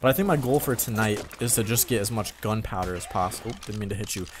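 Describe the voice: Speaking fast, a man with a fairly low pitch uses ordinary pitch variation.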